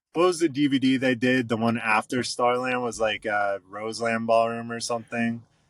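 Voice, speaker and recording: A man speaks at a moderate pace in an ordinary speaking voice, his medium pitch and fairly even intonation running on with hardly any pauses. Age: 30s. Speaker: rock band drummer. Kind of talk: casual chat. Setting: podcast interview.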